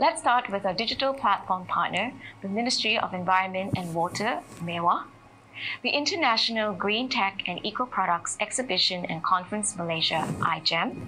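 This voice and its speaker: Over light background noise, a woman talks at a moderate pace with lively intonation. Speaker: festival host. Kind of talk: ceremony welcome remarks. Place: studio. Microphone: handheld.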